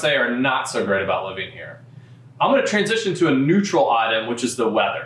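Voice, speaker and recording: A man in a Kentucky accent talks at a fairly quick pace, with audible room echo and noticeable background noise. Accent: local Louisville pronunciation. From Louisville, Kentucky. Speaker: real estate broker. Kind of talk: informational talk to camera.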